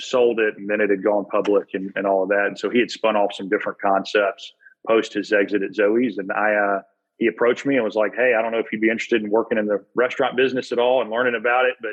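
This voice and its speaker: The speech runs at a very fast pace in a monotone, flat intonation. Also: man, fairly low pitch for a man. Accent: American. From US South, Birmingham, Alabama. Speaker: executive MBA student, former college football player. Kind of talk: casual interview chat.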